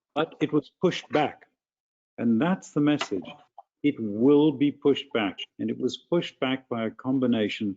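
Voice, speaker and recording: A man speaks with a South African accent. His pitch variation is ordinary. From South Africa, rural farm. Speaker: physician addressing town council. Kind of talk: public comment at council meeting.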